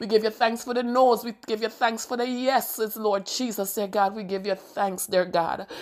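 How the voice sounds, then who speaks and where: Here a woman speaks with a fairly high pitch. Her intonation is fairly even. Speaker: prayer leader. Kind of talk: fervent prayer, intercessory, with repeated praise and petition. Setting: recorded solo audio message. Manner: fervent, rhythmic, repetitive, impassioned; earnest, devotional.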